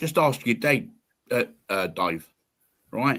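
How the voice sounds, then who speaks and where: A man talks at a fairly slow pace and a fairly high pitch. His tone is bright and sharp, with vocal fry. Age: 60s. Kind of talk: casual chat. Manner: animated.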